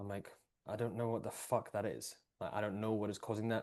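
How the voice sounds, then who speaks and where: A man with an Edinburgh accent, fairly low pitch and fairly even intonation. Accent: Scottish (Edinburgh). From Scotland, Edinburgh. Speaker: breathwork and performance coach. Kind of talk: casual podcast conversation.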